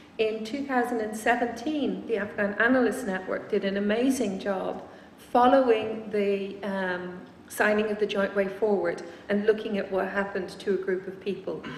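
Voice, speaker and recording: Against noticeable background noise and audible room echo, a woman speaks at a medium pitch with fairly even intonation. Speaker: researcher giving a talk. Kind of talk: lecture. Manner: fast.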